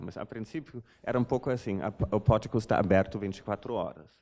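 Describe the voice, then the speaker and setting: A man with a German accent speaks in a dark, mellow tone. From Germany. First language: German (speaking Portuguese). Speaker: art curator. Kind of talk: lecture. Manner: halting, many fillers.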